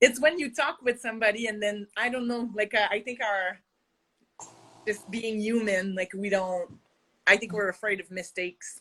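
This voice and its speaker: A woman with a French accent, fairly high in pitch, with a bright, sharp tone, ordinary pitch variation and a moderate pace. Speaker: yarn dyer and business owner. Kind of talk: casual chat.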